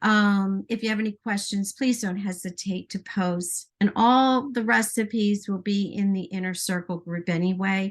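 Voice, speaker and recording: Against a quiet background, a woman speaks at a moderate pace and medium pitch, somewhat breathy, with fairly even intonation. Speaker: baking and essential oils presenter. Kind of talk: live stream baking demonstration. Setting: home kitchen. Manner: hesitant, many fillers.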